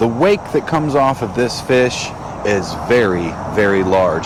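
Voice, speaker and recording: Against noticeable background noise and audible room echo, a man of medium pitch talks at a fairly slow pace. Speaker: fishing YouTuber. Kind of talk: outdoor fishing vlog.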